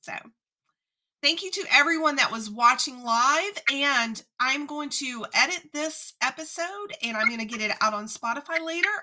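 In an American accent, a woman projects a raised, high-pitched voice with a bright, sharp tone and lively intonation. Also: moderate pace, big swings in loudness. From US South, south Louisiana near New Orleans. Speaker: podcast host. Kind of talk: casual interview chat. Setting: live-streamed online interview.

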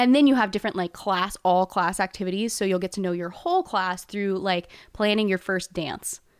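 A woman with an American accent and an ordinary speaking voice speaks at a moderate pace and medium pitch with fairly even intonation, on a very clean recording with a silent background and a dry, close sound with no echo. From Texas (Houston). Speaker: college admissions counselor. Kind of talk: casual chat.

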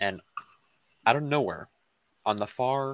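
A quiet man's voice with ordinary pitch variation. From US South. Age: 19. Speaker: podcast guest. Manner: quiet, low energy.

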